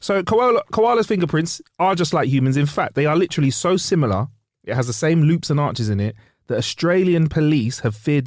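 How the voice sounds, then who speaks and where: Animated in tone with lively intonation, a man speaks at a fairly quick pace on a very clean recording with a silent background. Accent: London. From London, England. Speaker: podcast co-host. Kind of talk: comedic casual chat.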